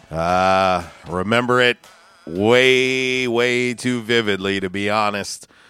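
A man with a fairly low voice talks at a very slow pace, his pitch varying an ordinary amount. Music plays in the background. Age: 40s. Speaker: sports talk radio host. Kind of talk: casual sports talk radio chat; live local radio commercial read, host-read sponsor spots for pizza and car wash. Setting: radio studio. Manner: upbeat, punchy pitchman delivery rattling off addresses and deals.

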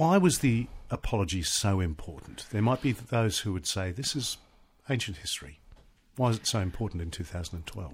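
With an Australian accent, the somewhat breathy voice moves through very wide pitch swings. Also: man, fairly low pitch for a man, moderate pace. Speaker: radio host and TV news presenter. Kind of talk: interview.

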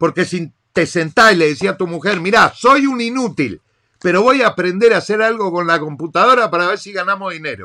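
A man's raised, projected voice, high-pitched, bright and sharp, animated with lively intonation, at a fairly quick pace with big swings in loudness. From Argentina. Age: 40s. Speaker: podcast host, digital marketer. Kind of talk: monologue rant.

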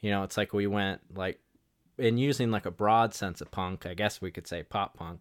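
A man speaks in a plain, everyday voice at a moderate pace with ordinary pitch variation. The sound is dry and close, with no echo. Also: fairly low pitch for a man. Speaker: podcast host. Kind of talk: casual chat.

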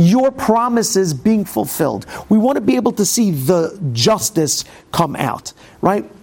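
Over noticeable background noise, a man speaks fairly slowly at a high pitch, with very wide pitch swings. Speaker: Torah teacher. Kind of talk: Torah class lecture. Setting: classroom with audience. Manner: informal, humorous, hesitant with fillers.

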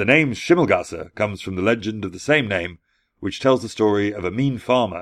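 Talking at a fairly quick pace, a man uses an ordinary speaking voice, fairly low in pitch, with ordinary pitch variation. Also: quiet background. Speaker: podcast host. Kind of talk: fairy-tale narration. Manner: measured, storyteller's cadence with hushed menace on the eerie moments.

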